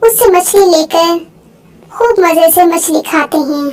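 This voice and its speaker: A woman puts on a cartoonish character voice at an extremely high pitch. She talks at a fairly slow pace with ordinary pitch variation. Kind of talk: moral story narration.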